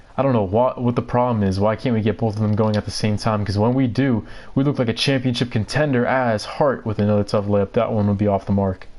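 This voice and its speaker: A man with an American accent speaks at a very fast pace, with hardly any pauses. His fairly low pitch keeps fairly even intonation and very even loudness. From New York. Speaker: gaming livestreamer. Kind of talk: live gameplay commentary. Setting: livestream. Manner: stuttering today.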